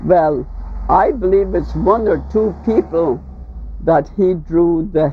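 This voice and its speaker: A woman in a Caymanian accent speaks at a very slow pace. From Cayman Islands. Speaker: folk artist. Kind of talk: interview answer.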